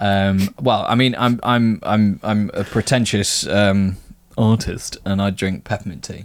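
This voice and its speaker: With an English accent, a croaky man speaks at a fairly slow pace in a fairly low pitch, his intonation fairly even. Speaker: miniature painting podcast co-host. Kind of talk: casual chat. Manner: hesitant, many fillers.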